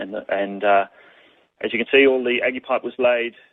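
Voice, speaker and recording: With an Australian accent, a man speaks in a monotone with flat intonation. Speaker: water conservation presenter. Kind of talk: webinar presentation. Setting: online webinar. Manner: fast; halting, many fillers.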